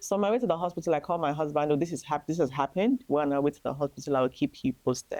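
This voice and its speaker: With a Nigerian accent, a woman speaks very fast with hardly any pauses, her pitch very deep and low and her tone dark and mellow. Her intonation is lively, and the sound is dry and close with no echo. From Nigeria, Lagos. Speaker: grieving mother sharing testimony. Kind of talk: testimony.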